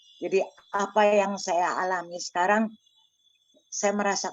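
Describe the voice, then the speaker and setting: In a monotone, flat intonation, a woman of medium pitch speaks at a fairly slow pace. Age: 70s. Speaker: parishioner sharing faith. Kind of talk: testimony. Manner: halting.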